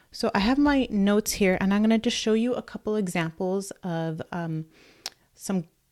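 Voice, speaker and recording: A soft-spoken woman talks at a medium pitch in a dark, mellow tone. Her pace is moderate. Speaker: blogger and online business coach. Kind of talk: live stream tutorial. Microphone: microphone held very close.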